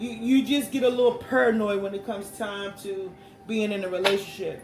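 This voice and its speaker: A loud man speaks at a moderate pace with a high pitch and fairly even intonation. Noticeable background noise and audible room echo fill the recording. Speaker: tarot reader. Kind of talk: tarot reading.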